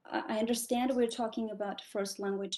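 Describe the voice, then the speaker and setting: A non-native accent with ordinary pitch variation. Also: woman. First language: not English. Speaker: graduate student asking a question. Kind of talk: question in online Q&A. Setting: online video call.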